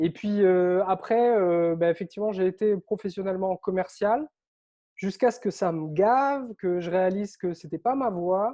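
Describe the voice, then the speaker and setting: This man's voice sits high in pitch. It rises and falls in an ordinary way. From Réunion. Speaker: author and online coach. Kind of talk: interview.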